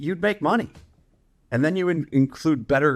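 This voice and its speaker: This man talks at a fairly quick pace in an animated tone. The recording is very clean, with a silent background. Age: 60s. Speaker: professional trader. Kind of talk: interview.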